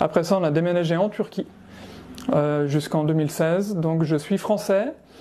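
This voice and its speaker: At a moderate pace, with ordinary pitch variation and very even loudness, the voice comes through noticeable background noise. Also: man, high pitch for a man. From France, Savoie. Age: 40s. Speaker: musician. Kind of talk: interview. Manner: halting, many hesitations.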